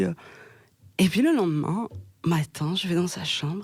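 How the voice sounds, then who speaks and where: A woman speaks with a fairly low pitch. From Belgium, Hainaut region near Mons. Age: 20s. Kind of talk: podcast interview answer. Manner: hesitant, conversational.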